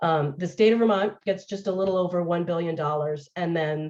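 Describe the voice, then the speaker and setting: At a fairly quick pace, a woman talks in a fairly low voice with ordinary pitch variation. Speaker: municipal funding expert. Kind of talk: webinar presentation. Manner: fast.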